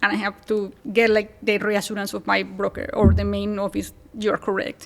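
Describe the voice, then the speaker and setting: A woman speaks with a strong Colombian accent over noticeable background noise. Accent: thick Colombian Spanish. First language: Spanish. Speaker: real estate agent, co-living specialist. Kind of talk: podcast interview. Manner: fast.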